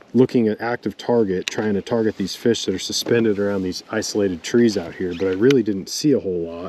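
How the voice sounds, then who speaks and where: Over noticeable background noise, a man speaks fairly quickly at a fairly low pitch with ordinary pitch variation. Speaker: pro bass fisherman and fishing vlogger. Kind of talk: casual on-the-water vlog explanation. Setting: outdoors on a boat on a lake. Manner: quiet, hushed.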